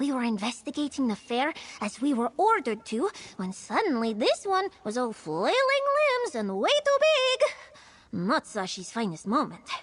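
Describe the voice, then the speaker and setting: Put-on character voice, delivered at a moderate pace. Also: female-sounding voice, high pitch for a woman. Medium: video game. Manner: speaks of herself in the third person.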